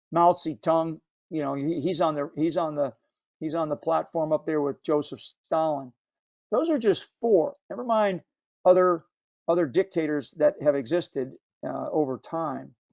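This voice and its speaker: This voice has an American accent and ordinary pitch variation. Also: man, fairly high pitch for a man, moderate pace. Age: 60s. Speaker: book club discussion leader. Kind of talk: book club discussion. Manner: halting, many repetitions.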